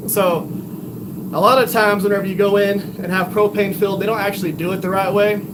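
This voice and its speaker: Very fast, flat, monotone speech with a Texan accent, noticeable background noise and audible room echo. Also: man, high pitch for a man. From Texas. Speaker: bladesmith livestreamer. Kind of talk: live stream chat while forging. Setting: home workshop. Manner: casual, conversational.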